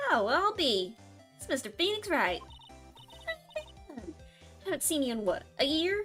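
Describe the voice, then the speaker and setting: Over clear background music, a high put-on character voice swings very widely in pitch at a moderate pace. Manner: friendly, surprised.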